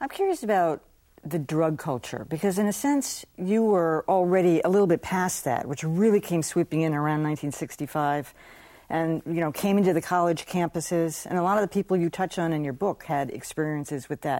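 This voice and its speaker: In an American accent, a woman talks at a fairly quick pace with a fairly low pitch and ordinary pitch variation. Her tone is dark and mellow, on a very clean recording with a silent background. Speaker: interviewer and TV host.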